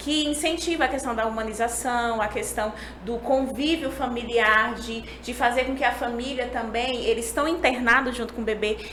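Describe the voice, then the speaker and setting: A woman's high-pitched voice at a moderate pace, fairly even in intonation, with hardly any pauses, amid audible room echo and noticeable background noise. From Brazil, Pernambuco (Agreste, Recife). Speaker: neonatal nurse. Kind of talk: podcast interview. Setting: podcast.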